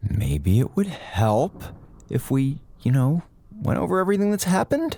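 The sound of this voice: With a fairly slow pace and vocal fry, a man puts on a character voice that is fairly high-pitched, dark and mellow in tone, with big pitch swings.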